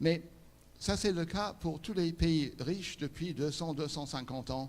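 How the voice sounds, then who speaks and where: A man speaks with an English accent at a fairly slow pace. His pitch variation is ordinary. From England. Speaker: conference speaker, interpreter and refugee charity head. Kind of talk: inspirational talk.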